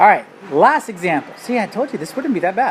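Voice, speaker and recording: Over noticeable background noise, a woman speaks in an animated tone with very wide pitch swings. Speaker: math teacher. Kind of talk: tutorial. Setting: screencast recording.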